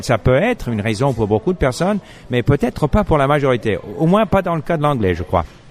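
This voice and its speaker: Over noticeable background noise, a man with an English accent speaks fairly quickly at medium pitch with very wide pitch swings. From Montreal, Canada. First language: English (speaking French). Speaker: podcast host. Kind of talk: casual chat. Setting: cafe. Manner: halting, frequent repetitions.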